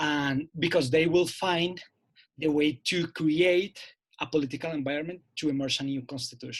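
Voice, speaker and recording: Using fairly even intonation, a man with a Spanish accent speaks at a fairly high pitch. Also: moderate pace. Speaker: seminar participant. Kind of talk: academic Q&A question. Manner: halting.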